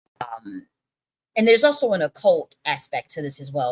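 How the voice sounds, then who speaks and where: Her pitch swings very widely, and this woman's voice sounds dry and close with no echo. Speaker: spiritual channel host. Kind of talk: live stream talk. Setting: live stream. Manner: halting, many fillers.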